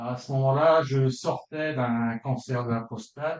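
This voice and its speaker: Very slow delivery with ordinary pitch variation. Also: man. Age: 60s. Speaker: consumer giving a testimonial, retired school educator. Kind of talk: testimony. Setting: video call.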